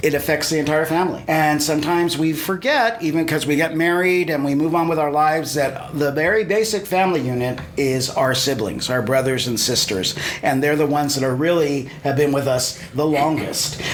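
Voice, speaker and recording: A man speaks at a fairly high pitch with ordinary pitch variation and very even loudness. He hardly pauses, and noticeable background noise sits behind him. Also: fairly quick pace. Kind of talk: interview host.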